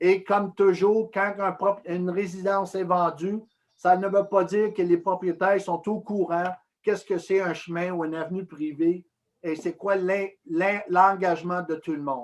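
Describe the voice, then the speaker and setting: Speaking at a fairly slow pace, a man uses a high voice with fairly even intonation. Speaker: municipal committee presenter. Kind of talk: public presentation.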